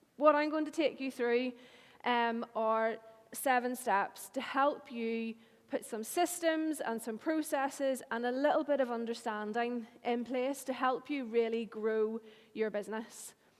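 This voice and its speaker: A woman with a Northern Irish accent and a high voice talks at a fairly slow pace, her pitch varying in an ordinary way. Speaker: marketing agency owner. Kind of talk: conference talk.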